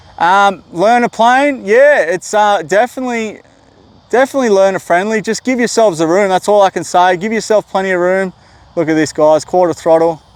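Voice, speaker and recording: The pitch is high for a man, with ordinary variation and a fairly quick pace. His sound is dry and close, free of echo. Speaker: RC plane hobbyist YouTuber. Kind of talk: live flying commentary. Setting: outdoors at a flying field. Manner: casual, halting with repeated words.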